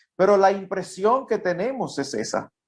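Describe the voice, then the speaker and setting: A man talks with lively intonation. His pitch sits high. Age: 60s. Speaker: pastor. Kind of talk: conversational interview.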